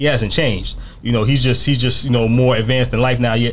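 A man with a New York accent talks very fast over light background noise. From New York, Mount Vernon. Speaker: podcast guest. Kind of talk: casual interview. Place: shop. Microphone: studio mic.

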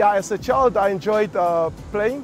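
With clear music in the background, a man talks in a high pitch, the sound dry with no echo. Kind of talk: interview answer. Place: factory. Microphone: lapel.

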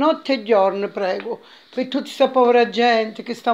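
A woman speaks at a fairly high pitch with a slightly mellow tone. Her intonation stays fairly even.

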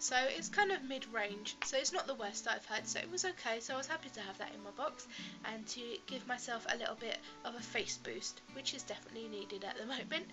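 A woman with a British accent at a very fast pace, music in the background. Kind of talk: casual talk to camera.

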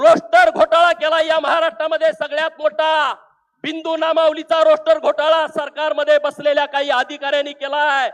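A man with an extremely high pitch speaks in a monotone, flat way. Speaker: politician. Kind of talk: political rally speech. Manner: forceful oratory.

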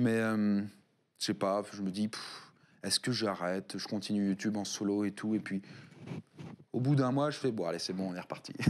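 Over light background noise, a man with a fairly low pitch talks at a moderate pace with fairly even intonation and long, frequent pauses. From Paris region, France; France. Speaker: YouTuber and game studio founder; interview guest, content creator. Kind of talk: casual interview. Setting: studio. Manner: hesitant, many fillers. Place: studio.

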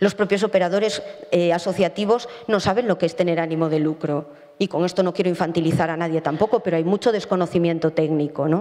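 A woman's fairly low voice, dark and mellow in tone, at a fast pace with few pauses. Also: fairly even intonation.

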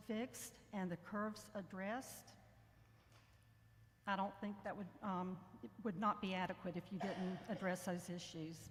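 A woman's somewhat breathy, medium-pitched voice with fairly even intonation, at a moderate pace with long, frequent pauses, in audible room echo. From north central Florida. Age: 60s. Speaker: former state representative speaking at public comment. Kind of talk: public comment at government meeting. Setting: public meeting hall, speaking into a mic.

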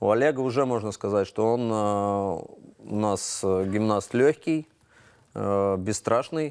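Against a quiet background, a man with a fairly low pitch speaks at a very slow pace and with ordinary pitch variation. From Latvia. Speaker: gymnastics coach and former Olympic champion; gymnastics coach. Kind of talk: studio interview. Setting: TV studio. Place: studio. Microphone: lapel.

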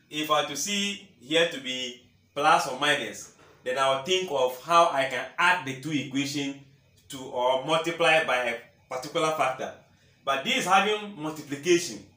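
A man's fairly high, bright, sharp voice with lively intonation and audible room echo.

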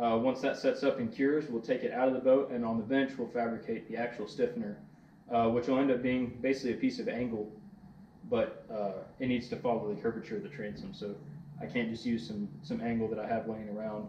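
A man's fairly quick delivery with ordinary pitch variation, light background noise and audible room echo. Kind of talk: tutorial. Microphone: camera far.

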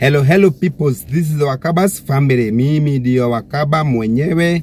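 This man's intonation is lively. The sound is dry with no echo, and there is light background noise. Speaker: family vlogger. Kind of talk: casual vlog chat. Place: car.

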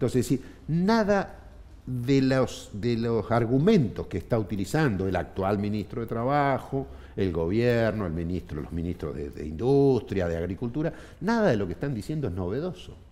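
Speaking at a moderate pace in a Rioplatense accent, a man keeps a medium pitch with very wide pitch swings. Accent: Argentine Spanish (rioplatense). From Argentina, Neuquén province. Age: 50s. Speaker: trade union leader; guest. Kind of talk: interview. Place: studio. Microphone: headset.

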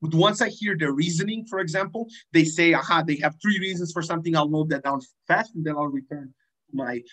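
A man speaks at a fairly quick pace in a high voice against a quiet background. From Serbia. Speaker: debater giving a workshop; workshop trainer. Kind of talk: lecture. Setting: video call. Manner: informal, hesitant with many fillers. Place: home room. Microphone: webcam.

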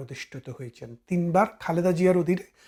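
Captured in a very clean recording against a silent background, a man speaks with a high pitch. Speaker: political commentator, barrister. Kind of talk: political commentary monologue. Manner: animated, emphatic.

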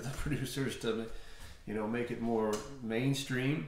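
A man is speaking, with audible room echo. Light background noise can be heard. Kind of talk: casual vlog chat. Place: home room. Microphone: camera far.

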